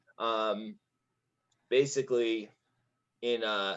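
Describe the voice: A man speaks at a very slow pace, his pitch fairly low and his intonation fairly even. His tone is clear, smooth and fairly bright.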